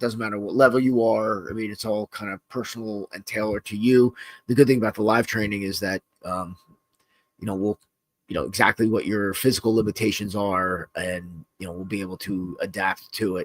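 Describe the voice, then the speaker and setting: The speech moves at a fairly quick pace with fairly even intonation. Loudness swings widely, and the sound is dry and close with no echo. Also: man. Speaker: self-defense instructor and podcast host. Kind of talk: casual podcast chat. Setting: live-streamed podcast. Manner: casual, halting with many fillers.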